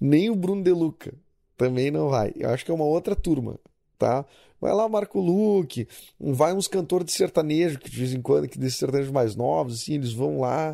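Over a silent background in a very clean recording, a man speaks with lively intonation and a dark, mellow tone. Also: fairly high pitch for a man, moderate pace. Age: 30s. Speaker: podcast host. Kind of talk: casual monologue. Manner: animated.

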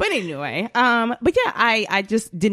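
A woman with a Southern US accent and ordinary pitch variation, on a very clean recording with a silent background. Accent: US South. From Atlanta, Georgia. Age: 20s. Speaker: podcast host. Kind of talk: casual chat.

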